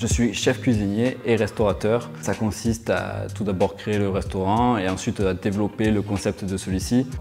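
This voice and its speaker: With music in the background, a man speaks in a fairly low voice with fairly even intonation and hardly any pauses. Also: moderate pace. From Provence, southern France (Pertuis). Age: 30s. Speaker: chef and restaurant owner. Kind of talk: career interview testimony. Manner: hesitant, with fillers.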